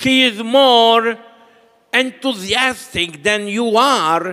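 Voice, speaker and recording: A raised, projected voice moves at a very slow pace. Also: man. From Malta. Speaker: priest. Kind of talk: sermon. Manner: short phrases paused for interpreter.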